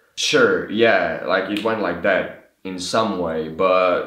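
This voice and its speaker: A man speaks with a Slovene accent. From Slovenia. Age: 20s. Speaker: vlogger. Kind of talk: casual vlog monologue. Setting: talking to camera. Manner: halting.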